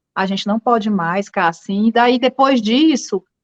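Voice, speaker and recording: A woman talks in a northeastern Brazilian accent at a moderate pace. The sound is dry and close, with no echo. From Northeast Brazil. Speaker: writer. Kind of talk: interview.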